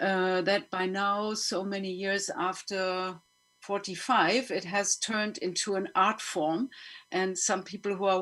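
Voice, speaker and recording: The speaker has a German accent and fairly even intonation. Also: woman. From Germany. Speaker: panel moderator and filmmaker. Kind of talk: panel discussion. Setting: online webinar.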